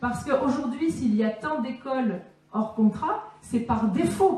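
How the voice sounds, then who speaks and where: A woman speaks at a fairly slow pace in a high voice. Room echo is audible. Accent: slight southern French. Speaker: teacher and political speaker. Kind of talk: conference Q&A answer. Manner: halting, many fillers.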